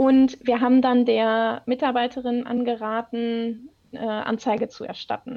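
This woman's voice sits high in pitch, with a monotone, flat intonation. She speaks at a fairly slow pace. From North Rhine-Westphalia, Germany. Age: 30s. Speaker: HR business partner. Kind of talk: casual chat.

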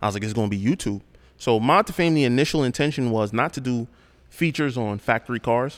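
Speaking very fast, a man with a New York accent uses a medium pitch and ordinary pitch variation. The recording is very clean, with a silent background. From Brooklyn, New York. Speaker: car YouTuber. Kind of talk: casual chat.

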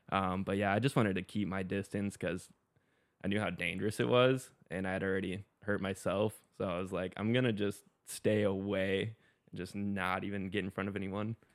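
Speaking at a moderate pace, a man has an ordinary speaking voice, a fairly low pitch and fairly even intonation. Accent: American. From US South, Florida Gulf Coast (Pensacola). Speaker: water sports photographer and foiler. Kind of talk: casual podcast interview.

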